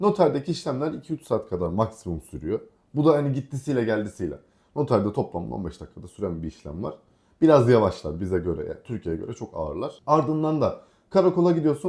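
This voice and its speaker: In a very clean recording with a silent background, a man talks at a fairly quick pace and medium pitch, his dark, mellow tone carrying vocal fry, very wide pitch swings and big swings in loudness. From Aegean Turkey, Kuşadası. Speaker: vlogger. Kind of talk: casual chat.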